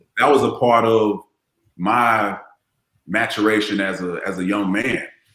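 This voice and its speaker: A man with an American accent speaks fairly slowly in a fairly low voice, with audible room echo. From Florida (Largo). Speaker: former NFL player. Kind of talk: casual podcast interview. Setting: live video podcast.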